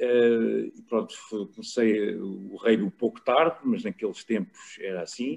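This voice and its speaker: The speaker is a man talking at a fairly slow pace. He leaves hardly any pauses. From Portugal, Lisbon. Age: 60s. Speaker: rugby journalist and former player. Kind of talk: casual chat.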